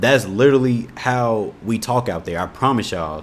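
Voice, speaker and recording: At a moderate pace, a man talks at a medium pitch with a slight Indiana accent. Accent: Indiana, slight country twang. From Indianapolis, Indiana, US Midwest. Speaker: YouTube reaction creator. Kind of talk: casual reaction commentary. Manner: relaxed, conversational.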